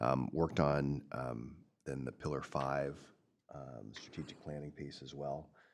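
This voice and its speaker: This man's pitch is very deep and low. His voice shows vocal fry. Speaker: county commissioner. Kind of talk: board meeting report. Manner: halting, many fillers.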